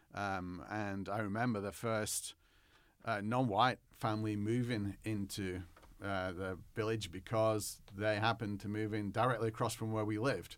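A man with an English accent speaks at a moderate pace with a fairly low pitch and monotone, flat intonation. The recording is very clean, with a silent background. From northwest England, near Manchester. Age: 40s. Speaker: history professor. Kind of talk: interview.

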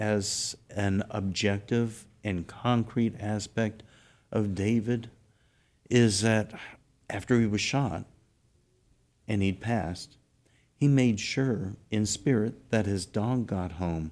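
With a Texan accent, a man speaks very slowly with long, frequent pauses, his fairly low pitch carrying a dark, mellow tone and ordinary pitch variation over a very clean, silent background. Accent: Texan American. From South Texas. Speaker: host's husband. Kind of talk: casual chat.

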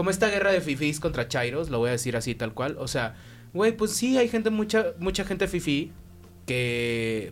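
A man's voice with a Mexican accent and very wide pitch swings. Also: fairly high pitch for a man, moderate pace. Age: 30s. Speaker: podcast co-host. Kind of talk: casual chat.

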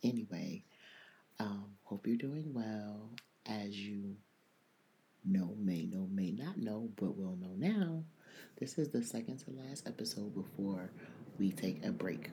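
A man talks at a fairly slow pace with long, frequent pauses. His fairly low, dark, mellow voice has ordinary pitch variation. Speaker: podcast host. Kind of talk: casual monologue. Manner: speaking low.

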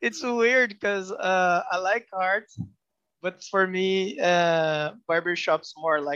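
At a very slow pace, a man with a Brazilian accent speaks in a raised, projected voice. His pitch is high, with ordinary variation and a bright, sharp tone. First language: Portuguese. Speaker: tattoo artist. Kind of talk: casual interview chat. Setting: video call. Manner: halting non-native phrasing, laughs often.

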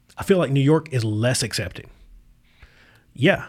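A man with an American accent speaks at a medium pitch, somewhat breathy. The recording is very clean, with a silent background. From Appalachian Virginia, US. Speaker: podcast host. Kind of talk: casual chat. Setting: studio. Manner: casual, profane, rambling.

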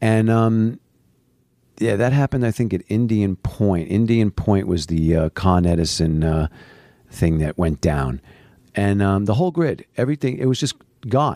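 In a dry, close recording with no echo, a man with a fairly low pitch talks at a moderate pace with lively intonation. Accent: New York. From New York. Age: 50s. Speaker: doctor. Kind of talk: casual chat. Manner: halting.

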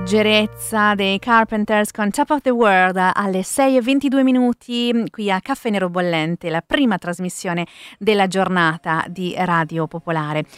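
A woman speaks at a very slow pace with lively intonation. The sound is dry and close with no echo, on a very clean recording with a silent background. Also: medium pitch for a woman. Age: 30s. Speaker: radio host. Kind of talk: morning radio show.

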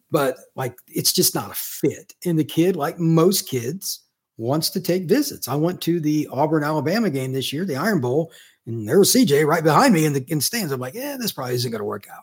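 An unremarkable speaking voice from a man with an American accent, fairly high pitch, lively intonation and a fairly quick pace, on a very clean recording with a silent background. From Indiana, US Midwest. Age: 50s. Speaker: college football recruiting analyst. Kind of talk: casual interview.

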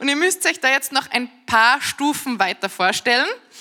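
Her tone is animated. The woman speaks at a high pitch. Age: 30s. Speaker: preacher. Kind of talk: sermon.

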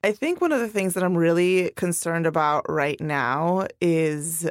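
On a very clean recording with a silent background, a woman has a plain, everyday voice, speaking at a moderate pace with ordinary pitch variation. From immigrant to the US. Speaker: freelance writer and podcast co-host. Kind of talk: interview. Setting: studio.

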